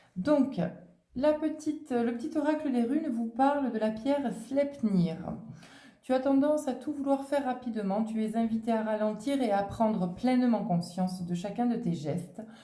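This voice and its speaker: In a room with audible echo, a woman talks at a moderate pace. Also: fairly high pitch for a woman. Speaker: tarot and oracle card reader. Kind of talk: oracle card reading.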